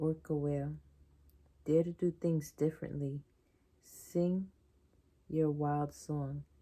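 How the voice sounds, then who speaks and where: Speaking at a very slow pace with long, frequent pauses, a woman has a very deep, low pitch, a dark, mellow tone, monotone, flat intonation and big swings in loudness. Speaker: card reader vlogger. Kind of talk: reading aloud.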